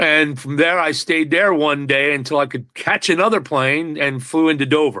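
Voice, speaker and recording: A man speaks with an American accent at a fairly high pitch. His tone is bright and sharp, and the recording is very clean with a silent background. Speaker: singer-songwriter. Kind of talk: interview.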